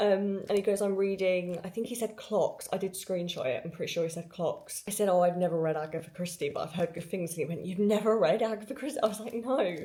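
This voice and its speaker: Speaking at a very fast pace with hardly any pauses, a woman uses a medium pitch and ordinary pitch variation against noticeable background noise. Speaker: book vlogger. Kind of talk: casual vlog. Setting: outdoors on holiday during a thunderstorm.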